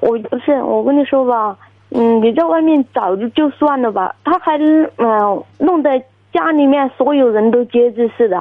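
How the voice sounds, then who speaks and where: Speaking at a fairly slow pace, a woman with a high pitch uses lively intonation and keeps her loudness very even. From Guizhou, China. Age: 30s. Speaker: caller. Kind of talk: phone-in advice call. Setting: phone call.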